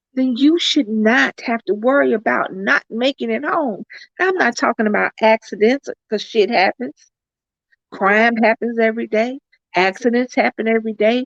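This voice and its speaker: A woman with an American accent speaks at a moderate pace with a fairly high pitch. Hers is a plain, everyday voice, with a dry, close sound and no echo. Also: lively intonation. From US South. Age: 50s. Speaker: YouTube vlogger. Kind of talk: livestream chat.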